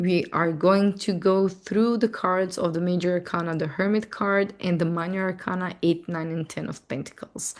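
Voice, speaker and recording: Over a quiet background, a woman with a non-native accent speaks at medium pitch with fairly even intonation. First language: not English. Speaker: astrology and tarot teacher. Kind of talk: casual correction note; webinar lecture. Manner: halting, slow word finding.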